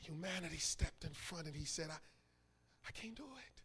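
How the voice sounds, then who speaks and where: A man whispering. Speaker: pastor. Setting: church. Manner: call-and-response with congregation.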